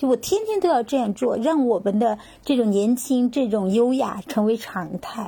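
At a moderate pace, a woman with a fairly high voice speaks in a dark, mellow tone with ordinary pitch variation. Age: 50s. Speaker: retiree and yoga practitioner. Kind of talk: casual interview.

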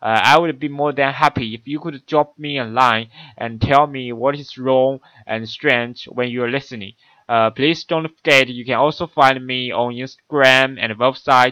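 In a dry, close recording with no echo, a man with a Chinese accent speaks at a moderate pace with a bright, sharp tone, medium pitch, fairly even intonation and big swings in loudness. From China. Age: 20s. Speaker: university student podcaster. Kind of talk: solo monologue. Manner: halting.

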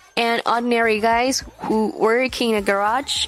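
A woman with a fairly high pitch speaks with fairly even intonation over noticeable background noise. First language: Mandarin Chinese. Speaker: English teacher. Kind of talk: language lesson. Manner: slow, deliberate enunciation.

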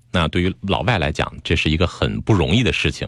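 A man speaks with a very deep, low voice and vocal fry. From Beijing. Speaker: psychotherapist. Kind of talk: interview. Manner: clear articulation, trained delivery.

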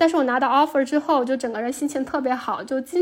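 The recording is very clean, its background silent. A woman speaks in a high voice. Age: 30s. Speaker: PhD student. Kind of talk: interview.

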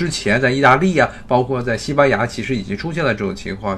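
With an unremarkable speaking voice, a man talks at a medium pitch that varies in an ordinary way. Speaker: podcast host. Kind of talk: solo commentary. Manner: conversational, many fillers.

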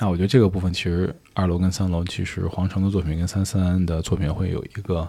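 Very fast and with hardly any pauses, a man speaks in a very deep, low pitch with a dark, mellow tone, somewhat breathy delivery and fairly even intonation. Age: 30s. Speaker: curator. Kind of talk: casual chat.

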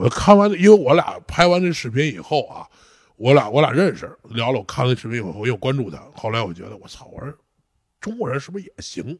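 This man talks at a very fast pace in a fairly high pitch, with vocal fry, very wide pitch swings and big swings in loudness. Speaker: strongman athlete. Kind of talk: casual interview chat. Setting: training gym.

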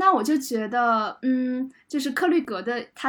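A woman speaks in a high voice with ordinary pitch variation. The recording is very clean, with a silent background. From Jiangsu-Zhejiang region, China. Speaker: culture journalist. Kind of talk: panel discussion.

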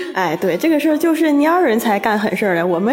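The pitch swings very widely at a very fast pace. Noticeable background noise runs underneath. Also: woman. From Shenyang, Liaoning, northeast China. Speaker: office worker. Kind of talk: casual chat.

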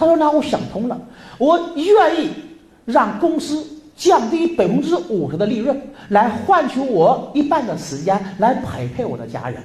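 Noticeable background noise beneath fairly slow talking. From northern Jiangsu, Lianyungang. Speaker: business trainer. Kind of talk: seminar lecture.

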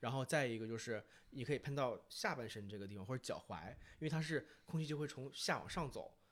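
A man with a plain, everyday voice speaks at a fairly quick pace, his medium pitch showing ordinary variation. The recording is very clean, with a silent background. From Northeast China, Fushun, Liaoning. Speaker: podcast guest, fragrance enthusiast. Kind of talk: casual chat.

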